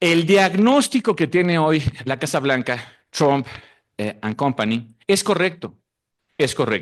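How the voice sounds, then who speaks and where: With a Mexican accent, a man talks at a fairly slow pace. His intonation is lively, and the background is quiet. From Mexico. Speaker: researcher. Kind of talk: conference talk.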